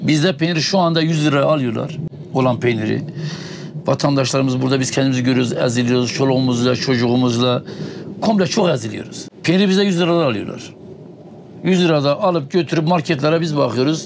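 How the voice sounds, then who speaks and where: The speech moves at a fairly quick pace with ordinary pitch variation and very even loudness. Noticeable background noise runs underneath. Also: man, fairly high pitch for a man. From Tunceli, eastern Turkey. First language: Kurdish (speaking Turkish). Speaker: nomadic livestock herder. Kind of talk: interview. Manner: halting.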